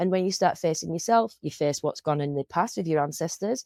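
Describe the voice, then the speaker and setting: Speaking at a fairly quick pace with an English accent, a woman with a fairly low pitch and a dark, mellow tone uses ordinary pitch variation in a very clean recording with a silent background. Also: dry, close sound with no echo. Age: 40s. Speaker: podcast host. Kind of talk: casual chat. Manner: loud; halting.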